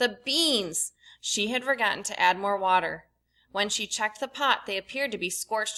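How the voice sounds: Quiet surroundings and a natural reading voice.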